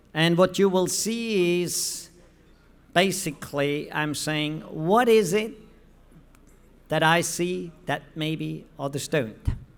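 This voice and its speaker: A man's high voice at a very slow pace, with long, frequent pauses, ordinary pitch variation and audible room echo. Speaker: professor presenting research at a conference. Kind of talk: conference presentation.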